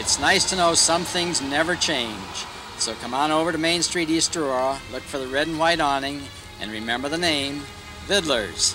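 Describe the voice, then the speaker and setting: Moderate-paced speech with ordinary pitch variation, music playing in the background. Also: man, fairly high pitch for a man. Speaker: store owner. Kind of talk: local TV commercial. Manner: folksy, friendly.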